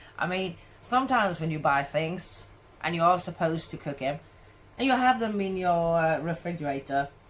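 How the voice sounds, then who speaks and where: With a Swedish accent, a woman talks at a moderate pace in a fairly low pitch. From Sweden. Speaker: cooking vlogger. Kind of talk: casual vlog tutorial.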